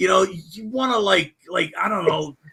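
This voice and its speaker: Very wide pitch swings in a man's raised, projected voice with a bright, sharp tone. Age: 60s. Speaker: guest in live stream chat. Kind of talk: casual chat.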